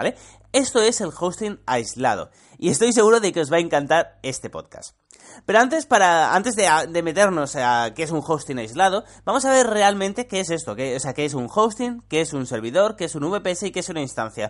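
A high-pitched man speaks at a fairly quick pace with very wide pitch swings. The background is quiet. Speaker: tech podcast host. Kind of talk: tutorial. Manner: casual.

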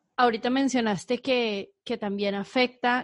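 At a fairly slow pace, a woman talks in a normal speaking voice with fairly even intonation, the sound dry and close with no echo. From Guadalajara, Mexico. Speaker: podcast host. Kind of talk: interview.

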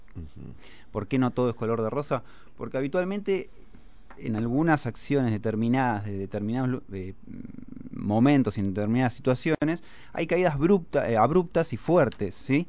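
At a moderate pace, a man with a medium pitch and an ordinary speaking voice talks with lively intonation. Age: 30s. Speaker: financial analyst. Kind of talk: casual chat.

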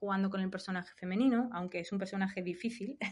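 A woman speaks at a medium pitch, somewhat breathy, with fairly even intonation. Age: 40s. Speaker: video game designer. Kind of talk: casual chat.

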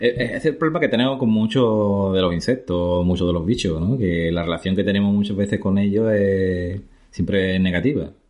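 A man with a plain, everyday voice speaks at a moderate pace and a fairly low pitch. His loudness stays very even. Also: ordinary pitch variation. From Andalusia, Spain (La Barca de la Florida, Jerez, Cádiz). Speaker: biologist. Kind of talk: casual interview. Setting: in person.

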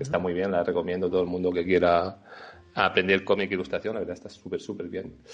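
Very deep and low, this man's voice holds fairly even intonation. He talks at a very fast pace. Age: 30s. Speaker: video game designer and illustrator. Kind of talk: interview.

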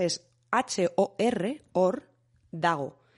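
Her pitch rises and falls in an ordinary way. The voice belongs to a woman. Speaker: podcast co-host. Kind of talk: casual chat.

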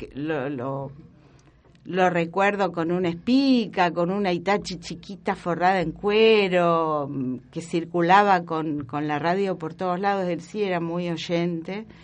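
Audible room echo surrounds a woman who speaks very slowly at a fairly low pitch with ordinary pitch variation. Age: 60s. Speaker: historian and professor. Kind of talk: interview.

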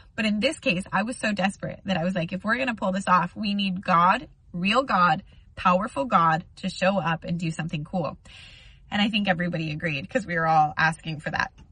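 Her voice has a bright, sharp tone and a medium pitch. The woman talks at a moderate pace. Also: ordinary pitch variation. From United States. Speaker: youtuber. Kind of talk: testimony.

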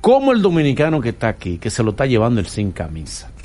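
This man's voice has vocal fry. His pitch is medium. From Dominican Republic. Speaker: radio host. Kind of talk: interview. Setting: studio.

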